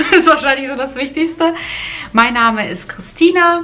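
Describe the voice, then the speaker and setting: Against noticeable background noise, a woman talks at a moderate pace, her pitch varying in an ordinary way. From Germany (moved from Kazakhstan at age four). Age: 30s. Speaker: lifestyle vlogger. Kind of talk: casual vlog talk to camera. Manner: hesitant, with fillers and repetitions.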